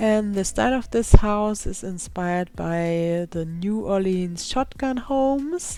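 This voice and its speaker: A woman with a German accent at medium pitch, dark and mellow in tone, with lively intonation, big swings in loudness, a very slow pace and hardly any pauses. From Germany. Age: 20s. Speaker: gaming YouTuber. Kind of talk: voiceover narration.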